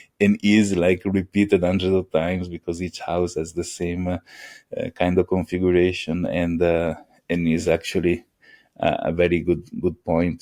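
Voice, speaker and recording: A man with an Italian accent speaks at a moderate pace in a very deep, low pitch, his tone dark and mellow and his intonation a flat monotone, on a very clean, dry, close recording with a silent background and no echo. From Italy (Venice). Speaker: AI engineer. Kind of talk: podcast interview. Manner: halting, many fillers.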